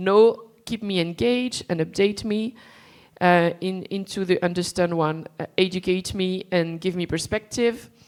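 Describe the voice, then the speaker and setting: A woman speaks at a medium pitch with ordinary pitch variation, in a very clean recording over a silent background. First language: not English. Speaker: panel moderator. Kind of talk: conference panel moderation. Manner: halting.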